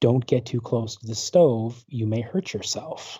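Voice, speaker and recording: A man puts on a character voice at a medium pitch. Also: moderate pace. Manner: gentle, warning.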